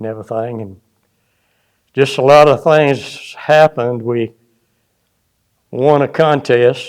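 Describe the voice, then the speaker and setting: A man with a South Carolina accent, medium-pitched, at a very slow pace with long, frequent pauses, fairly even intonation and big swings in loudness. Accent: Southern US (South Carolina). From US South, upstate South Carolina. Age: 80s+. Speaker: retired musician, former bassist. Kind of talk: casual interview reminiscence. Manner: halting, many fillers.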